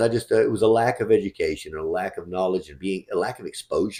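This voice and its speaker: A man speaks at a fairly quick pace with lively intonation. His voice is fairly low in pitch, with a dark, mellow tone. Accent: Southern US. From West Texas. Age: 40s. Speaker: real estate fund manager. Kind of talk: interview. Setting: call.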